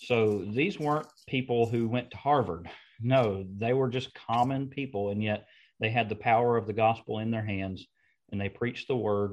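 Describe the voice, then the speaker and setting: In a quiet background, a man with a normal speaking voice talks at a moderate pace and medium pitch. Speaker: preacher and podcast host.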